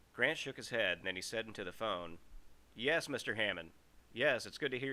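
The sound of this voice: The intonation is lively. It is an unforced reading voice.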